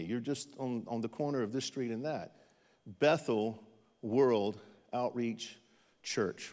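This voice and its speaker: A man with an American accent and an ordinary speaking voice, at a moderate pace, on a very clean recording with a silent background. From eastern North Carolina. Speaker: missionary pastor. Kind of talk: sermon. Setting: church with audience.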